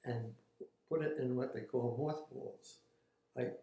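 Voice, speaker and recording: A man speaks very slowly at a medium pitch, his dark, mellow tone somewhat breathy and his intonation fairly even. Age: 80s+. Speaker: war veteran. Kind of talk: interview answer. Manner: hesitant.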